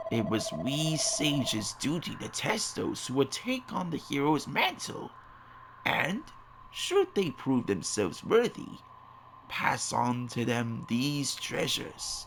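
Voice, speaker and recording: A man's put-on character voice at a fairly slow pace, with clear background noise. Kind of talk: archaic fantasy speech. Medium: video game. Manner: solemn, measured.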